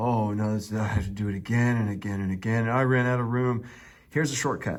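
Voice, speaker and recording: Speaking at a very fast pace, a man with a medium pitch is heard with audible room echo. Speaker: math teacher. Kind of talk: tutorial. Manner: animated.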